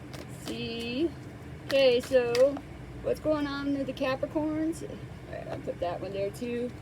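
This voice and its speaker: A woman's high voice with lively intonation at a fairly slow pace, big swings in loudness, and noticeable background noise. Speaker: tarot reader. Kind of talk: tarot reading. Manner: halting.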